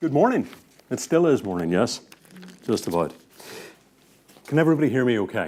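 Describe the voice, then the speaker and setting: A man's medium-pitched voice with vocal fry and an animated tone, very wide pitch swings, a fairly quick pace and long, frequent pauses. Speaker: business psychologist and conference speaker. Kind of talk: conference keynote talk. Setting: stage with audience. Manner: animated, interactive with audience.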